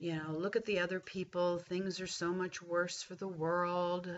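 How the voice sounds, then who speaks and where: A woman's voice at medium pitch, at a fairly slow pace. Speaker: life coach. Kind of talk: vlog monologue.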